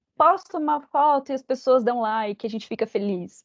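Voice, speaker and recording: A woman's high-pitched voice with ordinary pitch variation and a moderate pace. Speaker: psychologist and speaker. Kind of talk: lecture. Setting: company talk with audience.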